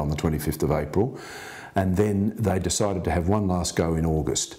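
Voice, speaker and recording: With a very deep, low pitch, a man speaks at a moderate pace and varies his pitch in an ordinary way. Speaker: interviewee. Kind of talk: interview answer. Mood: earnest storytelling. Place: home room.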